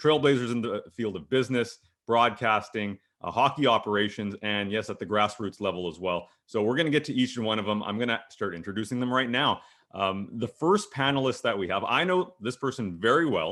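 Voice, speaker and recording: With a Canadian accent, a man talks at a fairly quick pace in an ordinary speaking voice with ordinary pitch variation. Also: medium pitch for a man. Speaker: panel moderator and hockey broadcaster. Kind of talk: panel discussion moderation.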